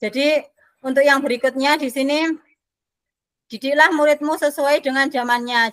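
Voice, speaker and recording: A woman speaks at a fairly quick pace with a high pitch. Her tone is bright and sharp, and her intonation stays fairly even. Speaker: special education teacher. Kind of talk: online training discussion.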